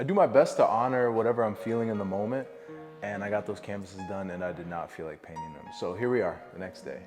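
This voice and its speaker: Music plays in the background as a man talks in a relaxed tone. His pitch is fairly low, with ordinary variation. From upstate New York. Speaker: visual artist. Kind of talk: casual talk to camera. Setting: studio. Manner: relaxed, rambling.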